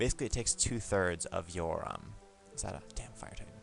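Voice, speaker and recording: A man speaks at a fairly quick pace as music plays in the background. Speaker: game reviewer. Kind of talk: casual gameplay commentary. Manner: stuttering, repeats himself.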